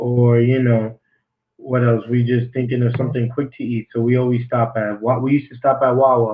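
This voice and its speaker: This man talks at a fairly quick pace with a medium pitch. His delivery is monotone and flat, and somewhat breathy. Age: young. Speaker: podcast co-host. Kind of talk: casual chat.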